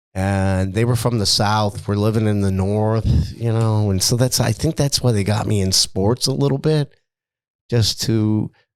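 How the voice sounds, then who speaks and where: In an American accent, a man with an ordinary speaking voice talks at a moderate pace and fairly low pitch, with ordinary pitch variation and very even loudness, on a very clean recording with a silent background. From Niagara Falls, New York, US. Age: 60s. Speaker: retired businessman. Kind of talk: interview. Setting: studio.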